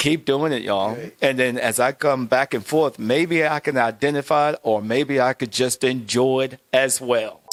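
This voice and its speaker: Moderate pace and fairly even intonation in a dry, close sound with no echo, with music in the background. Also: man, medium pitch for a man. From USA. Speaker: entrepreneur, company CEO. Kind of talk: interview answer. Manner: hesitant, casual.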